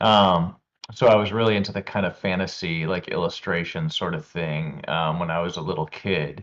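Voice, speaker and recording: In a very deep, low voice with ordinary pitch variation, a man talks at a moderate pace. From northern Vermont, US. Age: 40s. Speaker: painter and art teacher. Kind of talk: interview Q&A. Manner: halting, many fillers.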